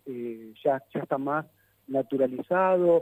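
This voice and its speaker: This man speaks very slowly in a Rioplatense accent. His tone is dark and mellow, and the sound is dry and close with no echo. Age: 50s. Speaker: psychologist. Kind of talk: interview. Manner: halting.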